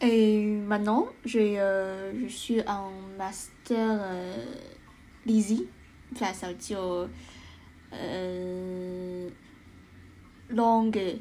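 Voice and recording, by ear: A woman speaks very slowly in a dark, mellow tone with fairly even intonation. Audible room echo surrounds her voice.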